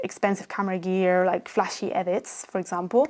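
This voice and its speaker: A woman talks at a moderate pace in a non-native accent. Noticeable background noise runs beneath her. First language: Spanish and Catalan. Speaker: YouTube growth coach. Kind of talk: casual vlog talk to camera.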